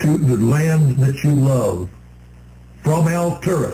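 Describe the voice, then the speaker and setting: Speaking very slowly, a man with a fairly high pitch and a dark, mellow, somewhat breathy tone uses ordinary pitch variation. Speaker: radio show co-host. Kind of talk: radio talk show. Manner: stutters.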